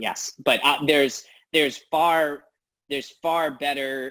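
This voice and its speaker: The recording is very clean with a silent background, and a man talks at a moderate pace. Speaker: quantum computing researcher. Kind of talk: technical talk. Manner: hesitant, many fillers.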